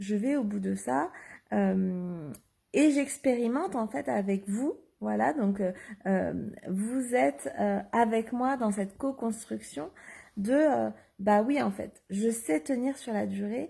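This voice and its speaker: Over a very clean recording with a silent background, a woman speaks at a very slow pace with long, frequent pauses. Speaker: life coach. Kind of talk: Facebook live monologue. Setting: live video stream. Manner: hesitant, many fillers.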